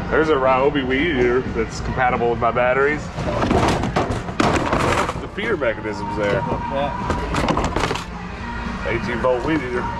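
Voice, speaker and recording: Loud background noise under a man's moderate pace. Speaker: vlogger. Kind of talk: casual vlog chat. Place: shop. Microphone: phone near.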